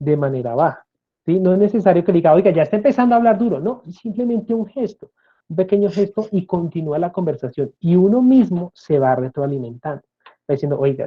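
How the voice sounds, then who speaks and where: The man's voice sits high in pitch, with lively intonation. He talks at a fairly quick pace. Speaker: speech therapist and lecturer. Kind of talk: interview.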